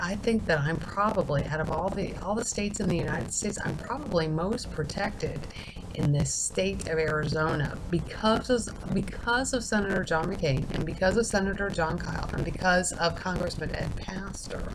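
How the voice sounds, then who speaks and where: The quiet voice moves at a moderate pace with ordinary pitch variation. Audible room echo and noticeable background noise surround it. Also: woman. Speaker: video blogger. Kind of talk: casual monologue.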